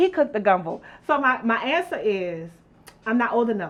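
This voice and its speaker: The speaker has a New Orleans accent. The pace is moderate. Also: woman. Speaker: youtube show host. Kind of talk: casual cooking chat. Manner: animated.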